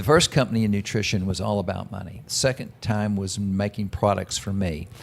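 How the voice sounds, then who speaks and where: Speaking with a Texan accent, a man has a fairly low pitch. His pace is fairly quick, with ordinary pitch variation. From Texas, Dallas. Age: 60s. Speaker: businessman. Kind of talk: interview.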